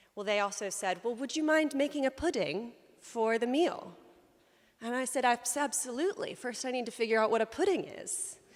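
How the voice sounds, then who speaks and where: A high-pitched woman's voice with an American accent, lively intonation and a fairly quick pace. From US South, South Carolina. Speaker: lay preacher. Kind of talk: sermon. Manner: conversational with many fillers.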